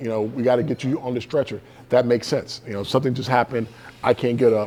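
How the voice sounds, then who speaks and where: An ordinary speaking voice with an American accent, fairly quick in pace and fairly even in intonation. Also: man. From US South, Georgia. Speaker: motivational speaker. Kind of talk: keynote speech. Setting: stage with audience.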